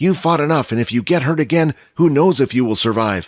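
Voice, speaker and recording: Quiet and growling, a man does a put-on character voice at a fairly high pitch and fairly quick pace in a very clean recording with a silent background. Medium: audio drama. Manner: quiet, serious.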